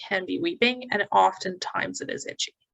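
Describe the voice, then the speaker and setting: In a Canadian accent, a woman speaks at a moderate pace. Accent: Canadian pronunciation of eczema. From Canada. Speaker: naturopathic doctor. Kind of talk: educational presentation.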